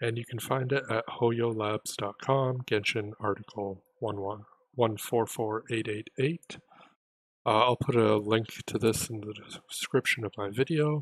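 A quiet man's voice, fairly slow in pace, with fairly even intonation and a dry sound with no echo. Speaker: gaming youtuber. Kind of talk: tutorial. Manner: quiet, held-back speech. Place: home room. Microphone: voice may be too quiet under game sound; headset.

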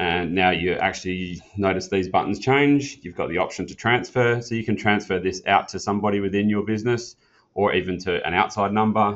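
The speech is fairly quick, with fairly even intonation. It is an unremarkable speaking voice. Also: man, fairly low pitch for a man, hardly any pauses. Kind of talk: tutorial. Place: meeting room.

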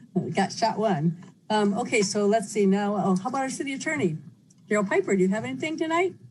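Over noticeable background noise, a woman talks very fast. Her medium-pitched voice swings very widely. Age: 70s. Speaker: mayor. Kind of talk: chairing a council meeting. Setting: teleconference.

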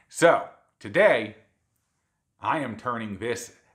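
A man is the one talking. Behind him, the background is quiet. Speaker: cooking channel host. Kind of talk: cooking show intro.

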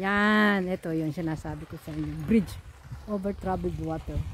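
A woman speaks at a moderate pace in a dry sound with no echo, with light background noise. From Philippines. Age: 60s. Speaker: vlogger. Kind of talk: casual chat. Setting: outdoors. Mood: cheerful, joking. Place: waterside. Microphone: phone near.

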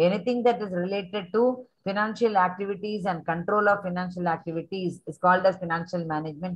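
A woman speaks at a fairly quick pace in a somewhat breathy voice. Her pitch variation is ordinary. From India. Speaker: teacher trainer for business studies teachers. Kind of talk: teacher training session. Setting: video call. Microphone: webcam.

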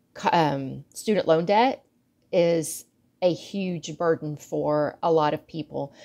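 A woman with a very deep, low pitch speaks in fairly even intonation over a quiet background. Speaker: guest. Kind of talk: casual talk to camera. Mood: relaxed, reflective. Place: home room. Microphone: earbuds.

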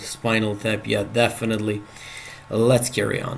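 A man with a Serbian accent and medium pitch, with light background noise. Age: 30s. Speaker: chess player and streamer; chess player streamer. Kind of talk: live game commentary. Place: home room.

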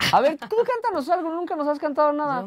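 Talking at a fast pace, a man uses an extremely high pitch and lively intonation.

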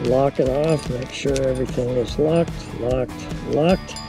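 The music in the background is clear, and the sound is dry with no echo. A man speaks at a very slow pace. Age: 80s+. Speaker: rock climber. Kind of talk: casual talk to camera. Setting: outdoors. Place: open country. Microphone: phone near.

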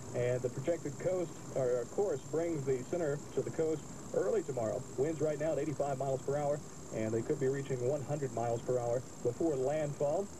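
This man's loudness stays very even as he talks at a moderate pace, noticeable background noise behind him. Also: fairly even intonation. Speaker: radio weather announcer. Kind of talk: radio weather bulletin. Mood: urgent but calm. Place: car. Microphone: old recording.

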